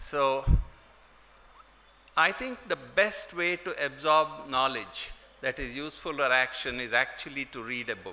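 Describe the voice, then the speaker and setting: Over noticeable background noise, a man with a Kannada accent and a fairly high pitch speaks at a fairly slow pace with ordinary pitch variation, big swings in loudness, and long, frequent pauses. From India, Karnataka coast (near Mangalore). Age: 70s. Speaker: wildlife scientist, keynote speaker. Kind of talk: keynote speech.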